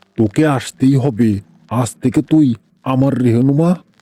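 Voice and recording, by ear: A man puts on a hissing character voice at a medium pitch and a moderate pace.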